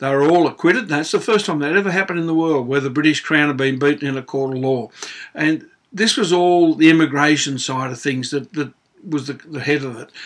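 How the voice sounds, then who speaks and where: A man with an Australian accent, fairly high-pitched, at a fairly quick pace with ordinary pitch variation. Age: 60s. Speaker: auctioneer and public speaker. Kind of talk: opinion monologue to camera. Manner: casual, conversational with hesitations.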